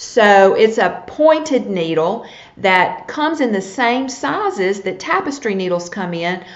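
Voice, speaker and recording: A woman with a fairly high pitch talks with lively intonation. Audible room echo and noticeable background noise are present. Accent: Southern US. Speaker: needlepoint teacher. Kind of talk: live-streamed tutorial. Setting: live video broadcast.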